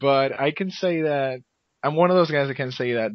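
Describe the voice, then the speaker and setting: Speaking at a fairly slow pace, a man with a Spanish accent shows ordinary pitch variation. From Argentina, Buenos Aires. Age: 20s. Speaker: esports commentator and podcaster. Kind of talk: interview.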